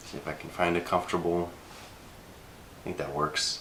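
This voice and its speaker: Noticeable background noise is present. Against it, a man speaks fairly slowly. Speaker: screenwriter vlogger. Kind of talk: casual vlog. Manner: halting, many fillers.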